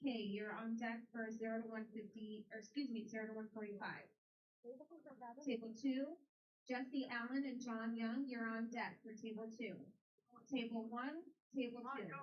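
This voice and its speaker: Pausing long and often, a woman with a fairly high-pitched voice speaks at a moderate pace with fairly even intonation. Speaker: tournament announcer. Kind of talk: event announcements. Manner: loud.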